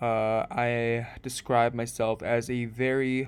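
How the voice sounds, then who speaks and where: Very slow and monotone, with flat intonation, a man speaks at a medium pitch. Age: 20s. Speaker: podcast host, college student. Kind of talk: casual monologue podcast. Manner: halting, many fillers.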